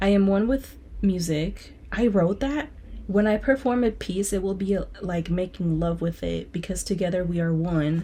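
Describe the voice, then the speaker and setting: A woman speaks at a moderate pace in a medium pitch, somewhat breathy, with ordinary pitch variation. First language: Spanish. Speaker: student vlogger and singer. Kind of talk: casual vlog reading from journal. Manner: animated.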